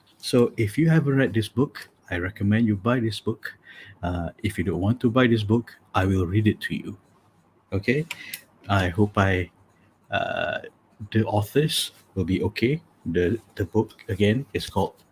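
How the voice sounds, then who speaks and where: Here a man speaks at a moderate pace with a fairly low pitch and a somewhat breathy voice. His pitch varies in an ordinary way, and he takes long, frequent pauses. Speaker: matchmaking coach and live show host. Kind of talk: casual livestream chat. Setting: live video stream from home office. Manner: low-energy late-night voice.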